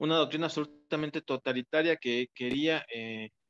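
At a moderate pace, a man talks over a quiet background, the sound dry with no echo. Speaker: interview guest. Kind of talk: interview answer. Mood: engaged storytelling. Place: home room. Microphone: video call.

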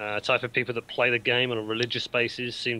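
Talking at a very fast pace, a man with a British accent uses a bright, sharp tone and monotone, flat intonation. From UK. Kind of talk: casual chat. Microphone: video call.

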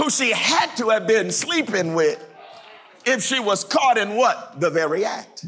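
A man's raised, projected voice, high-pitched, with very wide pitch swings, a fairly slow pace and crowd noise behind it. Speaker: pastor. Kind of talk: sermon. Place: church. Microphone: lapel.

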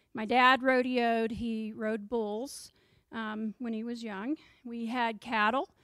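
A woman with an American accent talks at a very slow pace, her pitch fairly high and her intonation monotone and flat. The sound is dry with no echo, over a quiet background. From Texas. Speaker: history professor. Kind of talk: lecture. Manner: frequent ums. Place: classroom. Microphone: handheld.

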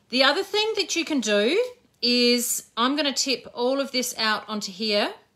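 Against a quiet background, a woman projects a raised voice at a high pitch with a bright, sharp tone. Her pitch swings very widely at a moderate pace. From Australia. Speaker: craft educator and shop owner; craft educator. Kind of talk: casual live-stream craft tutorial. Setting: live Facebook stream from home. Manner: chatty, warm. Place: workshop. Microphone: phone near.

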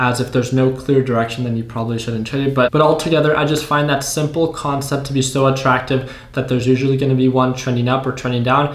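Delivered at a very fast pace with hardly any pauses, the speech has monotone, flat intonation and audible room echo. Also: man. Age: 20s. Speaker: YouTube day trading educator. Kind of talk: casual tutorial to camera. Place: home room.

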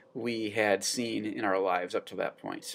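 Male speech at a moderate speed. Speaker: teacher. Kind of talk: lecture. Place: classroom. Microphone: webcam.

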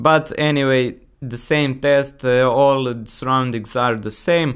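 The speaker talks at a fairly slow pace with fairly even intonation and a fairly bright tone. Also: man, medium pitch for a man.

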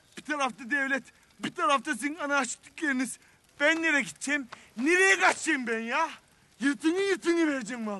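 A man talks at a fairly quick pace in a raised, projected voice. The sound is dry, with no echo. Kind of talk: dramatic film dialogue, exasperated rant. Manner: drunken, slurred, pleading rant. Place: cafe.

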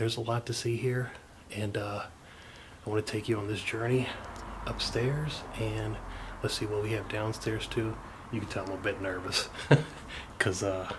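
Over noticeable background noise, a man with a fairly low pitch speaks in fairly even intonation, with long, frequent pauses. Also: moderate pace. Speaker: urban explorer vlogger. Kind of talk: casual vlog chat. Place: home room. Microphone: phone near.

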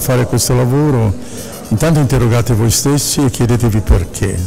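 Clear music plays in the background. Over it, a man speaks at a moderate pace with ordinary pitch variation. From Milan. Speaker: actor. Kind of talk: interview answer. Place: hall. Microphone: handheld.

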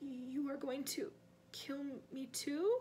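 A woman's put-on character voice, high-pitched and hoarse, over clear background noise

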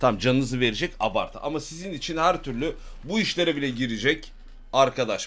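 The man talks at a moderate pace, his pitch varying in an ordinary way. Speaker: live streamer. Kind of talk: casual stream chat with viewers. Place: home room.

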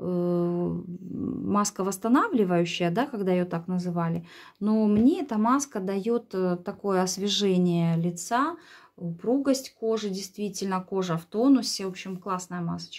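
At a fairly slow pace, the speaker uses ordinary pitch variation against a quiet background. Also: woman. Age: 40s. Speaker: beauty vlogger. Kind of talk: product review vlog.

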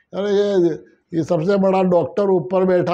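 A man's high-pitched voice with a dark, mellow tone, fairly even intonation and a very slow pace, over a quiet background. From Rajasthan, India. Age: 70s. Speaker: patient giving testimonial. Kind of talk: testimony. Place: office. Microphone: lapel.

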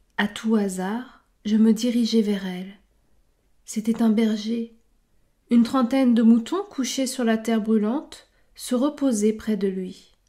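A woman's somewhat breathy, dark and mellow voice, fairly high in pitch, very slow with long and frequent pauses and fairly even intonation, on a very clean recording with a silent background. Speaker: book club host for French learners. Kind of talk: literary audiobook reading. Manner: slow, measured, clear and steady, formal, evenly paced for learners.

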